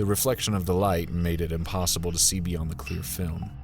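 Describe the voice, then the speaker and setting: A man speaks in a very deep, low voice while music plays in the background. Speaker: horror fiction narrator. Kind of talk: scary story narration.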